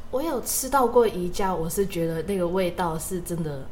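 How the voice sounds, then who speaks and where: There is audible room echo around a woman with a Cantonese accent. Her pitch is fairly low and her pace moderate. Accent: Cantonese-accented Mandarin. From Hong Kong. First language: Cantonese (speaking Chinese). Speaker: university student podcast co-host. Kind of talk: casual chat.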